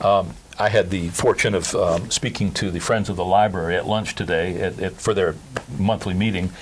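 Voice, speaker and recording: This man's very deep, low voice moves at a moderate pace with fairly even intonation while noticeable background noise sounds behind him. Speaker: local magazine interviewer. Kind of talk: interview. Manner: halting, many fillers.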